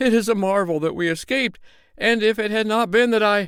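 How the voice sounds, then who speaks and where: The voice is a put-on character voice. A man performs it at a high pitch. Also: fairly quick pace. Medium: read story.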